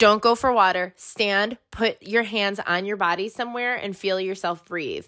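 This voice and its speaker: A woman talks loudly at a moderate pace in a bright, sharp, animated voice of medium pitch, with hardly any pauses. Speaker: podcast host. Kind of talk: casual chat. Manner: loud, animated.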